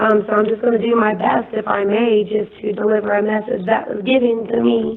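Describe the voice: The voice moves at a fairly quick pace with vocal fry and little pitch movement. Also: woman, medium pitch for a woman.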